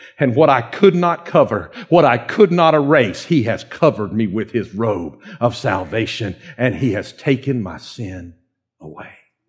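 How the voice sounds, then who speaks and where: Speaking at a moderate pace with a Georgia accent, a man's somewhat breathy voice makes very wide pitch swings and big swings in loudness. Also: medium pitch for a man. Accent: Southern, Dawsonville Georgia. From US South, North Georgia (Dawsonville). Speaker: pastor. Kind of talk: sermon. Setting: church with congregation. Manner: animated.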